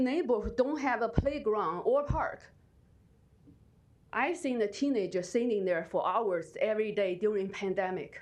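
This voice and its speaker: Her voice shaky, a woman speaks at a moderate pace with lively intonation and long, frequent pauses. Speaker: resident giving public comment. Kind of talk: public testimony. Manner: halting; shaky voice.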